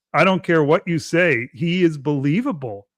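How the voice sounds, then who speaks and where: With a Canadian accent and an ordinary speaking voice, a man talks at a moderate pace with ordinary pitch variation, the sound dry and close with no echo. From Canada. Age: 50s. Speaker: wrestling podcaster. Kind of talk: casual podcast chat.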